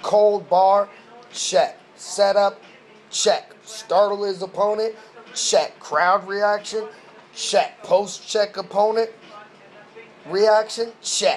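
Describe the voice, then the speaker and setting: A high-pitched man at a very slow pace, with long, frequent pauses, fairly even intonation and noticeable background noise. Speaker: battle rap commentator. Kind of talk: video commentary. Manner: casual slangy.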